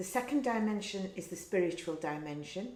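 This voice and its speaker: Lively intonation comes through in an English accent. Audible room echo surrounds the voice. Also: woman. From England. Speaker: wellness course teacher. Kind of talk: lecture.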